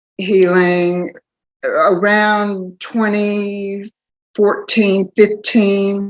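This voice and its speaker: A woman's very slow, monotone, flat delivery over music in the background. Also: medium pitch for a woman. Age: 60s. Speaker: interviewee sharing personal testimony. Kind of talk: testimony.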